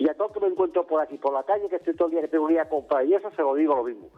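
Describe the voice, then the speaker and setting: A man with lively intonation. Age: 70s. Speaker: caller, retired worker. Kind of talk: call-in opinion. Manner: agitated, repetitive.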